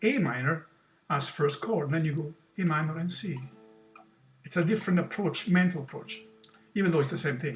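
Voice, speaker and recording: A man with a high pitch and an Italian accent. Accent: Italian accent, non-native English. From Italy. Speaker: guitar teacher. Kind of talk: tutorial. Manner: halting, with repetitions and self-corrections.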